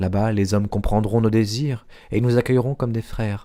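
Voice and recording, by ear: A natural voice reading aloud.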